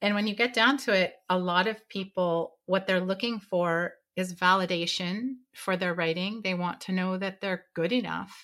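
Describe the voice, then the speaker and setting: The voice has a bright, sharp tone and fairly even intonation at a moderate pace, with hardly any pauses. The recording is very clean, with a silent background. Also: woman, medium pitch for a woman. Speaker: writing expert. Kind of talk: interview.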